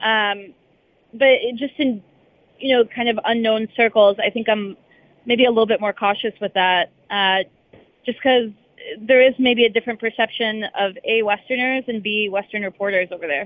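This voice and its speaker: A woman with an American accent speaks at a moderate pace in a fairly high pitch, her intonation fairly even, an ordinary speaking voice. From United States, Russian-speaking family from Odessa. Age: young. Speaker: sports reporter. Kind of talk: casual interview. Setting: remote from a baseball stadium.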